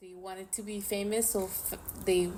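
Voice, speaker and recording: Noticeable background noise and audible room echo surround a woman with a Spanish accent. She speaks at a fairly slow pace in a monotone, flat intonation. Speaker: podcast co-host. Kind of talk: casual chat.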